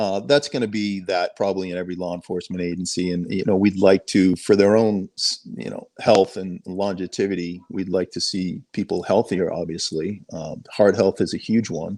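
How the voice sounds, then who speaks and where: A man's very deep, low voice with a dark, mellow tone and a slight Boston accent, fairly even in intonation but with big swings in loudness, at a moderate pace with hardly any pauses, over a quiet background. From Boston suburbs, Massachusetts. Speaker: sheriff helicopter pilot. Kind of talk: casual interview.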